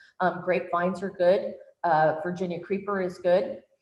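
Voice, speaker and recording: There is audible room echo around this woman's fairly low-pitched voice. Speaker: workshop presenter. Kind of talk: online workshop lecture. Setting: virtual workshop.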